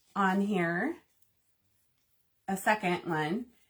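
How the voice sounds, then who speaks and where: Her voice is somewhat breathy. This woman speaks at a fairly high pitch. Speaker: crafting channel host. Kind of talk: live painting tutorial. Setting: livestream. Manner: casual, chatty.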